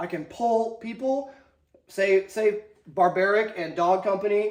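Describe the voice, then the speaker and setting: Audible room echo surrounds a man with an American accent who speaks in an animated tone at a high pitch. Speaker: army instructor and video host. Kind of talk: lecture. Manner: fast; casual, animated.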